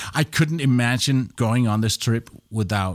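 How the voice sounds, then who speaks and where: A man speaks with a Danish accent. The recording is very clean, with a silent background. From Denmark. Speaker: radio professional and travel podcaster. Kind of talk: interview. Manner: halting.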